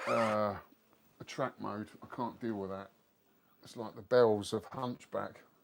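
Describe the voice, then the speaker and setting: A man with a London accent speaks at a fairly slow pace in a fairly low pitch, his intonation fairly even, his loudness swinging widely, and his pauses long and frequent. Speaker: retro gaming streamer. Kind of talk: casual live stream chat.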